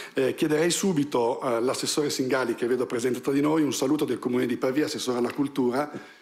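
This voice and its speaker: A man speaks at a very fast pace with vocal fry and fairly even intonation. His loudness stays very even over a quiet background. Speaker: museum director. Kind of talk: event introduction. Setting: stage with audience. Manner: hesitant. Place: hall. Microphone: camera far.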